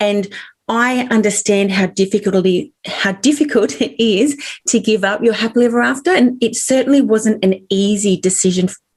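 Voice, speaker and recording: Somewhat breathy, a woman speaks in an Australian accent at a fairly high pitch with ordinary pitch variation. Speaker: author. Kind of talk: interview.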